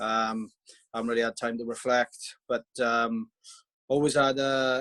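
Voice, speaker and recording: A man's medium-pitched voice in monotone, flat intonation, with a dry, close sound and no echo. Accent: Welsh. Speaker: professional rugby player. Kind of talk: video call introduction.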